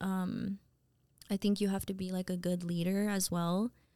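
This woman talks at a moderate pace with an American accent. Her pitch sits in the medium range. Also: very clean recording, silent background. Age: 30s. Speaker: hairstylist and salon owner. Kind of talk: casual chat.

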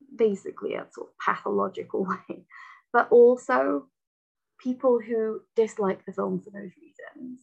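A woman with a Lancashire accent talks at a fairly slow pace in a fairly high pitch. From Lancashire, northern England. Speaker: poet and researcher. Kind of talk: casual chat.

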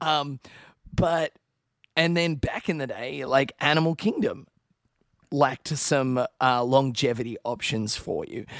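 A man with an Australian accent, fairly high-pitched, at a fairly slow pace with long, frequent pauses, in a dry, close sound with no echo. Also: ordinary pitch variation. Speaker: podcast co-host, Disney travel expert. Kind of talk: casual chat.

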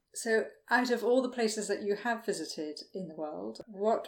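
A woman with a plain, everyday voice at a medium pitch, a moderate pace, and ordinary pitch variation. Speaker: podcast host and former shop owner. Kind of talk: casual interview chat. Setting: video call.

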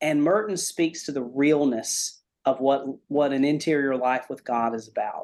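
At a moderate pace, a man talks in an ordinary speaking voice with a fairly high pitch and ordinary pitch variation. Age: 40s. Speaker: pastor. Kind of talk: testimony.

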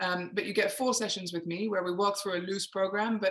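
Her intonation is fairly even. This woman talks in an English accent. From England. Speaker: emotional awareness coach. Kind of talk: interview.

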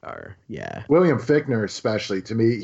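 At a moderate pace, a man speaks with a medium pitch and ordinary pitch variation. His voice is somewhat breathy. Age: 30s. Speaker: film podcast host. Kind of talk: casual chat. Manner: animated.

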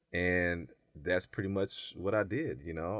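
With an American accent, a man speaks at a very deep, low pitch with ordinary pitch variation, recorded very cleanly against a silent background in dry, close sound with no echo. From US South. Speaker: bodybuilder and personal trainer. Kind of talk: casual chat.

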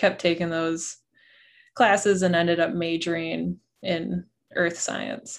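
A woman with an Upper Midwest accent speaks at a fairly low pitch. Her pace is fairly slow, and the background is quiet. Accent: Upper Midwest American. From southeastern Wisconsin. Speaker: glacial geologist. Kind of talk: interview.

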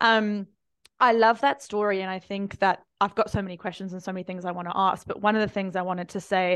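Over a quiet background, a woman with a plain, everyday voice speaks at a fairly quick pace, at medium pitch and with fairly even intonation. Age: 30s. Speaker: podcast host and marketing coach. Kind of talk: casual chat. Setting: video call.

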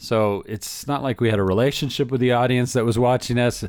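The speaker talks at a fairly quick pace with an American accent and ordinary pitch variation. The recording is very clean, with a silent background. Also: man. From Southern California. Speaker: animator and film director. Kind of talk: interview.

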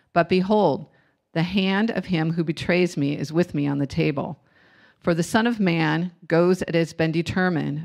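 Recorded very cleanly against a silent background, a woman with an unremarkable speaking voice talks at a fairly low pitch, a moderate pace and with fairly even intonation. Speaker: congregation member leading scripture reading and prayer. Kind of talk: scripture reading and prayer. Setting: church.

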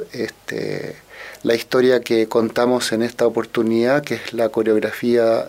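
Over noticeable background noise, a man with a medium pitch speaks at a fairly slow pace in a monotone, flat intonation. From Chile, Santiago. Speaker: orchestral musician and conductor. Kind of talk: radio interview.

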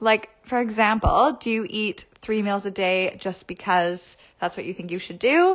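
A woman with a Canadian accent talks at a fairly slow pace, her fairly high voice showing ordinary pitch variation. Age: 20s. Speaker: podcast host and personal trainer. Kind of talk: solo podcast monologue. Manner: upbeat, animated. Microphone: recorded on a phone.

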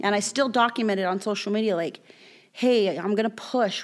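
Speaking in a normal speaking voice with an American accent, a woman keeps a medium pitch, fairly even intonation and a moderate pace. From Southern California, Bloomington. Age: 30s. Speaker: guest sharing life story. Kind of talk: testimony.

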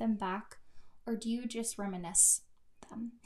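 Speaking at a moderate pace with an American accent, a woman uses a fairly high pitch and a somewhat breathy voice. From US Midwest. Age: 20s. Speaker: friend of the host. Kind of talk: casual chat.

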